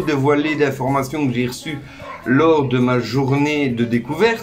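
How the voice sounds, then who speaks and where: With music in the background and audible room echo, a man with a Belgian accent speaks at a fairly high pitch. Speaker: YouTuber giving expat advice. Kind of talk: casual informational vlog. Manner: hesitant, many fillers.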